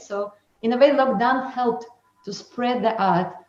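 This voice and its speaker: A woman with a non-native accent speaks at a moderate pace, her pitch varying in an ordinary way. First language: not English. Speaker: dancer and choreographer. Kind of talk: webinar talk. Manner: halting.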